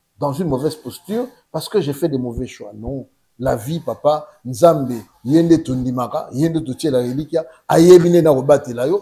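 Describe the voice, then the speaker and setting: Loudness swings widely as a man speaks at a moderate pace. His fairly high voice is somewhat breathy, with a dark, mellow tone. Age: 60s. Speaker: politician, former presidential press director. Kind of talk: interview.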